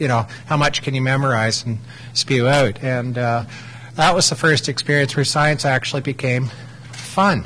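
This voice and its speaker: Over noticeable background noise, a man with a Canadian accent speaks at a moderate pace, with a medium pitch and ordinary pitch variation. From Ontario, Canada. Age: 40s. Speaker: microbiologist, academic. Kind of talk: lecture. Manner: halting.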